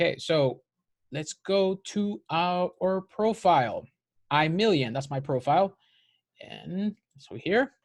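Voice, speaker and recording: Speaking at a high pitch, a man talks at a very slow pace with lively intonation and long, frequent pauses on a very clean recording with a silent background. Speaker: video blogger. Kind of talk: tutorial. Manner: halting.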